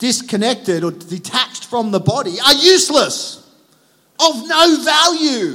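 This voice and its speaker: In an Australian accent, a man speaks at a fairly slow pace in a raised, projected voice with very wide pitch swings. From Australia, Sydney northern beaches. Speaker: pastor. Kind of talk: sermon. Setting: church.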